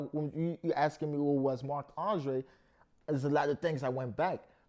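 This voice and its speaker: A man's fairly high-pitched voice with a dark, mellow tone. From France, Paris. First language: French. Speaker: rapper and painter. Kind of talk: interview.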